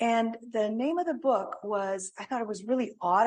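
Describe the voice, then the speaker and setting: A woman with a Greek accent, somewhat breathy, at a fairly slow pace and with lively intonation. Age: 70s. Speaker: spiritual author and speaker. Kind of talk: talk with audience Q&A. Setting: church with audience and online. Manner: halting.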